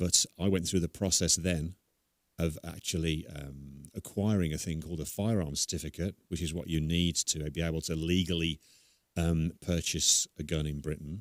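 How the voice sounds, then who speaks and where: Recorded very cleanly against a silent background, dry and close with no echo, a man with an English accent speaks at a moderate pace in a very deep, low pitch with fairly even intonation. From England. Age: 60s. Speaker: guest on gun ownership. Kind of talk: interview.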